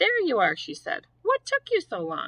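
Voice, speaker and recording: Squeaky and extremely high in pitch, a woman speaks in a put-on character voice. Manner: stern.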